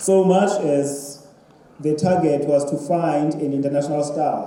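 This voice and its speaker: A man with a South African accent speaks fairly slowly at a fairly high pitch. Noticeable background noise and audible room echo surround him. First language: Xhosa. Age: 50s. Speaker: writer. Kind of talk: panel talk.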